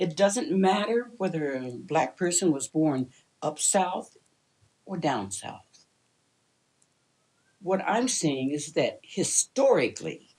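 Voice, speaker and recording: Very slow speech with vocal fry, in an American accent, has long, frequent pauses. The pitch swings very widely. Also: woman. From US Midwest (southern Illinois, eastern Iowa). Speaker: retired teacher and social activist. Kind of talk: interview.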